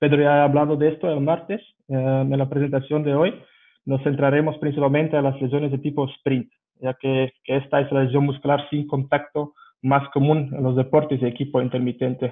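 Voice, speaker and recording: A man speaks with a non-native accent in a fairly high pitch. His intonation is monotone and flat. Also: fairly quick pace. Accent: foreign accent in Spanish. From Belgium. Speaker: strength and rehabilitation coach. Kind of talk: lecture. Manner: halting, with fillers.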